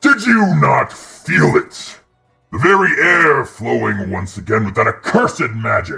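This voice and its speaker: A man speaks at a fairly slow pace in a put-on character voice of medium pitch, with faint music in the background. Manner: enraged.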